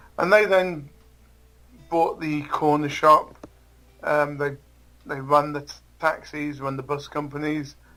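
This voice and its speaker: With an English accent, a man talks at a fairly slow pace in a fairly high pitch, his delivery monotone and flat with long, frequent pauses. His loudness swings widely, and music plays in the background. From England. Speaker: interview guest. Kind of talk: interview. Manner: halting.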